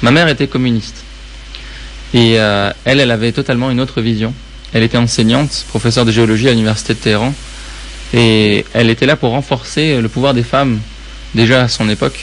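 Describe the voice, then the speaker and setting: Medium pitch from a man, fairly quick yet broken by long, frequent pauses, with fairly even intonation, very even loudness and noticeable background noise. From Iran. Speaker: public speaking consultant. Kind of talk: interview.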